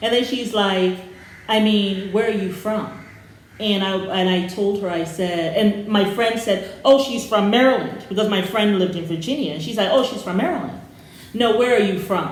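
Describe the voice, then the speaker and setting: A woman at a moderate pace with ordinary pitch variation, audible room echo, and noticeable background noise. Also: medium pitch for a woman. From Sierra Leone (born in Ghana). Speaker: YouTube reaction show co-host. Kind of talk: casual chat.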